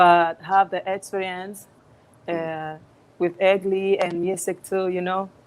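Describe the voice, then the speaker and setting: In a Spanish accent, a woman speaks very slowly at a medium pitch with monotone, flat intonation, on a very clean recording with a silent background. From Dominican Republic, Puerto Plata. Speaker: singer. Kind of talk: interview. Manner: halting.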